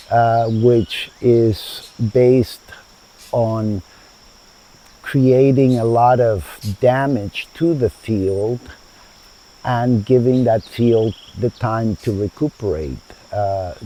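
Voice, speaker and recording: A man with a Spanish accent speaks at a very slow pace with medium pitch and ordinary pitch variation. Noticeable background noise sits behind him. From Chile, then United States from age 12. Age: 70s. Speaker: founder of a sustainable community. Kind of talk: interview. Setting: outdoors in a garden.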